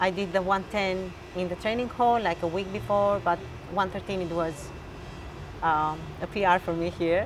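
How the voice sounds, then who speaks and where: With an Albanian accent, a woman speaks at a moderate pace and medium pitch with fairly even intonation. Her long, frequent pauses sit over noticeable background noise. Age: 30s. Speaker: weightlifter. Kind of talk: interview. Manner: halting.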